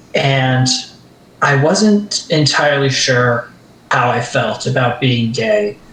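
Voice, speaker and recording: A man with a medium-pitched voice talks very slowly while noticeable noise sounds behind him. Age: 20s. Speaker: convention panel audience member sharing story. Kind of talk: personal testimony. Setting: voice chat on livestream. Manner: halting.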